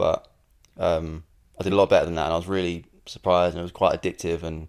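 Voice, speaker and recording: With a London accent, a man speaks at a very fast pace. His very deep, low voice stays monotone and flat. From South London, England, Irish family. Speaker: singer-songwriter. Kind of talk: casual interview. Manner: hesitant, many fillers.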